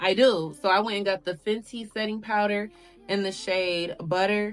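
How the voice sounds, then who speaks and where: At a medium pitch, the woman keeps a moderate pace. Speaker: beauty YouTuber. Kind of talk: casual tutorial. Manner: loud.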